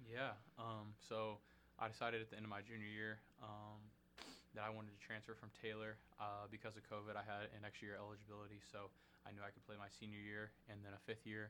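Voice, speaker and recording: A very fast, monotone, flat delivery from a man in a Midwestern American accent, fairly low in pitch with a bright, sharp tone. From Indianapolis, Indiana (south side). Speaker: college basketball player. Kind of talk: casual interview.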